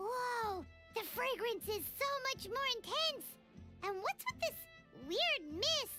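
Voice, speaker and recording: Over clear music in the background, a put-on character voice squeaks at an extremely high pitch, at a fairly slow pace with long, frequent pauses. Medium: video game. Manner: loud, cheeky.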